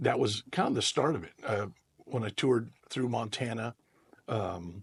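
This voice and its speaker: Speaking with an American accent, a man talks at a moderate pace and a medium pitch. His voice is somewhat breathy, with ordinary pitch variation. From Central California (Merced). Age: 60s. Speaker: guitarist and singer-songwriter. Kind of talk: interview. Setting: podcast.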